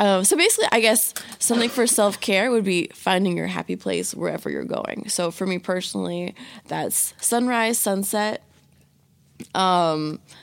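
Very clean recording with a silent background: a woman at a moderate speed, in an American accent. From Virginia, Hampton Roads area. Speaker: college student. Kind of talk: casual chat.

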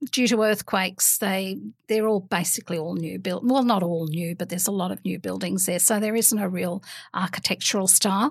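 A woman's medium-pitched voice in an Australian accent, fairly quick, with ordinary pitch variation, on a very clean recording with a silent background. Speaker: guest with Greek heritage. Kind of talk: casual chat. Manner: hesitant, many ums.

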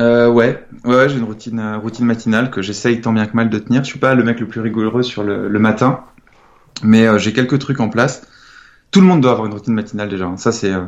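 Fairly quick speech from a man at a medium pitch. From France, Nantes. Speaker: entrepreneur and author. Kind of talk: interview. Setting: remote call. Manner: hesitant, casual with fillers.

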